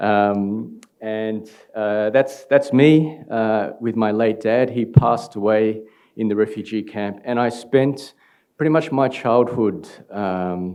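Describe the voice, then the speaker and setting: A man with an Australian accent talks at a very slow pace, his tone dark and mellow. His pitch is medium, with ordinary variation. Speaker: startup founder. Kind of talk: conference talk. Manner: halting, many fillers.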